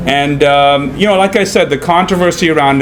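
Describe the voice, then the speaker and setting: Over noticeable background noise, a man with an American accent talks at a fairly quick pace in a fairly high voice with ordinary pitch variation. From India, Mumbai. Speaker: documentary filmmaker. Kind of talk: panel discussion at film screening. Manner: halting, many fillers and repeats.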